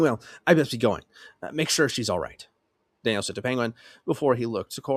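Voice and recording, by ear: With a quiet background, the speaker reads aloud in a natural voice, the pitch rising and falling in an ordinary way.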